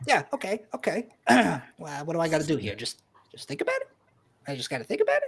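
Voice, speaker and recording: Using a put-on character voice at a middle pitch, the speaker talks at a very fast pace with long, frequent pauses. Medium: actual play. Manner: stammering, hesitant.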